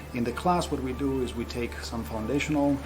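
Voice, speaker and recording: Over music in the background and audible room echo, a man talks at a very fast pace and a medium pitch. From Greece (Crete). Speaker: professor. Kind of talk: interview.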